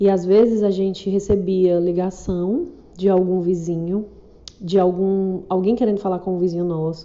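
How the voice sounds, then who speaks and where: The speaker is a woman. Her pitch is medium. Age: 40s. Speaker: podcaster. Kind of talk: casual monologue.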